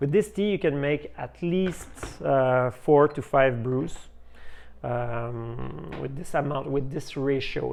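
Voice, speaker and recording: Medium-pitched male voice with a French accent. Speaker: tea shop owner. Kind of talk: tutorial. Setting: tea house. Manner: halting, many fillers.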